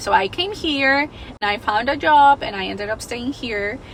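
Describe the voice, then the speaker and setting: A woman speaks in a Spanish accent at a high pitch and a moderate pace. Her pitch varies in an ordinary way, with noticeable background noise behind her. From Mexico, Guadalajara. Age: 20s. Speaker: vlogger. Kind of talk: personal storytelling vlog. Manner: casual, chatty.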